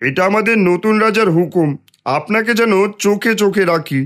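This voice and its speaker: A man puts on a cartoonish character voice at a high pitch. He keeps a moderate pace, very even loudness and ordinary pitch variation. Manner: deferential to superiors.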